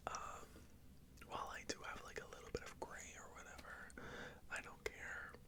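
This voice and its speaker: Noticeable background noise underlies a woman whispering at a fairly slow speed. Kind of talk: ASMR life update rambling. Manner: whispered, soft-spoken.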